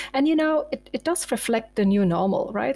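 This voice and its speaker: A woman with a German accent and lively intonation, recorded dry and close with no echo. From Germany. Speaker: sales enablement manager. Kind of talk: interview.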